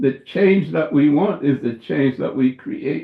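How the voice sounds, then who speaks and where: A man talks at a moderate pace in a somewhat breathy voice. His pitch is fairly high, with ordinary variation. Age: 80s+. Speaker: surgeon and professor. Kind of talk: interview. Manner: halting.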